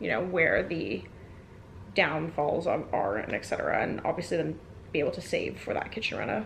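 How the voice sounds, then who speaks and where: A woman keeps up a fairly quick pace, her voice echoing audibly in the room amid noticeable background noise. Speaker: lifestyle vlogger. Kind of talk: casual vlog talk to camera.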